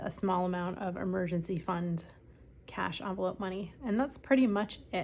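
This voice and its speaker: A woman with an American accent, a normal speaking voice at a medium pitch, a moderate pace and ordinary pitch variation. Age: 40s. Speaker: personal finance vlogger. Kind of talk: casual vlog. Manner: frequent filler ums.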